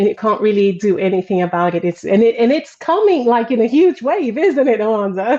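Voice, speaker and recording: Speaking fairly quickly with hardly any pauses, a woman keeps her loudness very even while her fairly high pitch swings very widely. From Brazil. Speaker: parenting coach and former teacher. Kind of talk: casual livestream interview. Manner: hesitant, many fillers.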